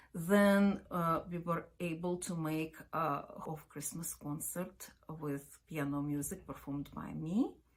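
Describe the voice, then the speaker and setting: A woman's very deep, low voice, fairly even in intonation, at a fairly slow pace. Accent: Ukrainian. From Ukraine. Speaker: opera company artistic director and pianist. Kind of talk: video introduction. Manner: halting with fillers.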